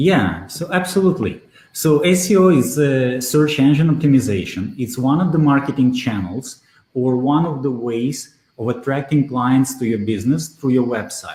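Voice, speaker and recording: A man's somewhat breathy, dark, mellow voice at medium pitch, with a Russian accent, lively intonation and a moderate pace. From Belarus. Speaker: SEO expert. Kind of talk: interview. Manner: hesitant, many fillers.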